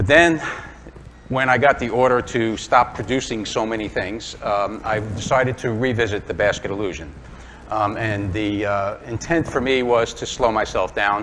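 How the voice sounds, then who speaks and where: With noticeable background noise, a man speaks in a New York accent. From Brooklyn, New York. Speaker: woodturning demonstrator. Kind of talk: live demonstration talk. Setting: club demonstration before live audience. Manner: casual, hesitant with fillers.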